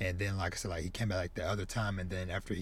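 This is a man's voice, fairly low in pitch. It sounds somewhat breathy. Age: 30s. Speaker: podcast host, manga reviewer. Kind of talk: solo review monologue. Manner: casual, filler-heavy.

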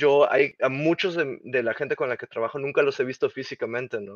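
A man with a normal speaking voice and medium pitch talks with fairly even intonation, the sound dry and close with no echo and the background quiet. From Mexico. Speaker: game creative director. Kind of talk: interview.

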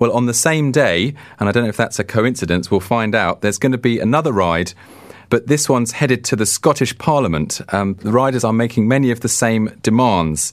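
A man's medium-pitched voice in a British accent, fairly quick in pace, with very even loudness and ordinary pitch variation. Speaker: radio host. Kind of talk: casual radio interview. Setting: studio.

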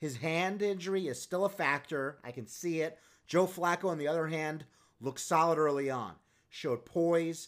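With an American accent, a man in an ordinary speaking voice talks at a moderate pace and a fairly high pitch with ordinary pitch variation, on a very clean recording with a silent background. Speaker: football scouting podcast host. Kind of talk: sports recap and analysis monologue. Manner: self-promoting, playful, confident.

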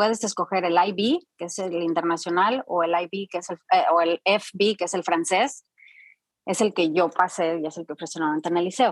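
A woman speaks in a plain, everyday voice at a moderate pace, with a fairly low pitch. Her intonation is fairly even, and the sound is dry and close with no echo. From Mexico. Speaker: Spanish teacher and professional voice-over artist. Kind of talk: interview conversation.

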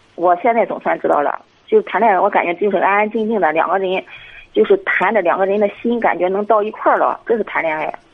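A woman talks at a very fast pace with medium pitch and ordinary pitch variation. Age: 40s. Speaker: caller to advice show. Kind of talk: personal problem call.

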